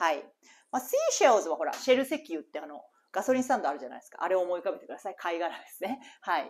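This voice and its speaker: At a very fast pace, a woman's voice shows very wide pitch swings and big swings in loudness. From Japan. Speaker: English teacher. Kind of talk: reading aloud; tutorial. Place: home room. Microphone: lapel.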